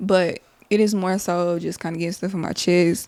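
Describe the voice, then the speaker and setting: A woman with an American accent, a medium pitch and a dark, mellow tone. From Texas, Dallas-Fort Worth area. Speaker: podcast host. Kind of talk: casual monologue. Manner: rambling, conversational.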